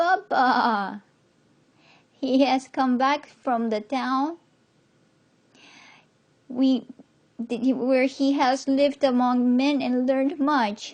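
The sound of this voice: Against a quiet background, a woman uses a shaky, put-on character voice at a high pitch and a very slow pace.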